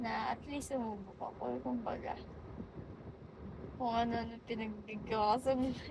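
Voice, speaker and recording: Moderate-paced speech with long, frequent pauses and fairly even intonation, plus noticeable background noise and audible room echo. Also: woman. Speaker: vlogger. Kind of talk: casual monologue. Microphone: phone mic, no microphone.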